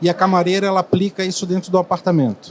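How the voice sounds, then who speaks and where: With noticeable background noise, a man speaks at a high pitch with a Florianópolis accent. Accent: Florianópolis accent, fast. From Florianópolis, southern Brazil. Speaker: hotel executive. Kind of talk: panel discussion. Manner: fast.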